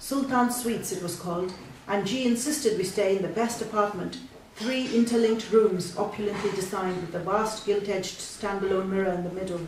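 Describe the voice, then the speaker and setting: A woman speaks at a fairly quick pace with fairly even intonation. There is noticeable background noise. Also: medium pitch for a woman. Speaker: fiction writer reading her own story. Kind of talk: short story reading at a live spoken word event. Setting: live event in a bookshop.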